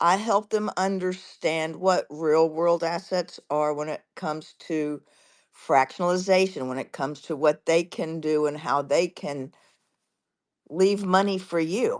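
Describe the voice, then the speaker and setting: Over a quiet background, a woman with a fairly low pitch talks at a fairly slow pace in a normal speaking voice, with ordinary pitch variation. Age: 60s. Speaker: financial consultant for seniors. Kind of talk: casual panel chat.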